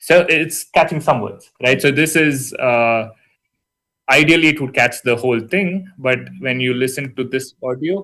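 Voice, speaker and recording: The pitch varies in an ordinary way. There is a strong Indian accent. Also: man, medium pitch for a man. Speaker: university lecturer. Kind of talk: lecture. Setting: online session. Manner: casual, hesitant with fillers.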